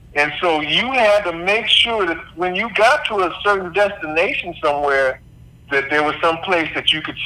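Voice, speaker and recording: Over noticeable background noise, a man talks at a moderate pace in a high voice. His pitch swings very widely. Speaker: former executive chef and entrepreneur. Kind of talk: interview answer.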